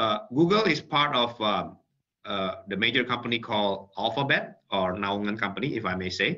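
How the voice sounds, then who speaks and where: With an Indonesian accent, a man speaks in a fairly low, bright, sharp tone and ordinary pitch variation. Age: 40s. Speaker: tech company executive; guest. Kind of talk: webinar talk. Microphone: video call.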